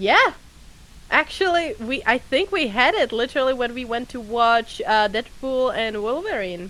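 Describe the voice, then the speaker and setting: Speaking at a moderate pace with lively intonation, a woman uses a high pitch and a non-native accent. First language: not English. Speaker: VTuber. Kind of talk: casual chat. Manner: halting.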